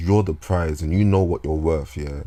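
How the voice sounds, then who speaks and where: A man's very deep, low voice with a dark, mellow tone and lively intonation, on a very clean recording against a silent background. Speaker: vlogger. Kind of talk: casual monologue. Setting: talking into a microphone at home. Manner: halting.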